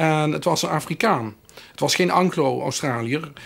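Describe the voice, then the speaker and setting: Speaking at a moderate pace, a man with a Limburg accent uses a high pitch and lively intonation. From Limburg, Netherlands. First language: Limburgish (speaking Dutch). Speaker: professor. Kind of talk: interview. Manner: halting, many filler sounds.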